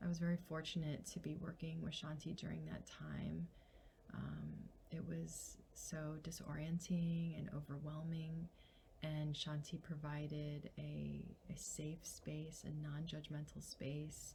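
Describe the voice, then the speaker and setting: Soft-spoken, a woman talks at a very slow pace. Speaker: licensed mental health counselor. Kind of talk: testimonial.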